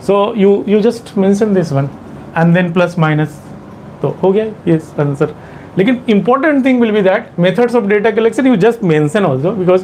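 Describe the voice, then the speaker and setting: With noticeable background noise behind him, a man with an Indian accent talks at a moderate pace, his voice high-pitched with lively intonation. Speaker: exam coaching teacher. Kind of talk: lecture. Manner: halting.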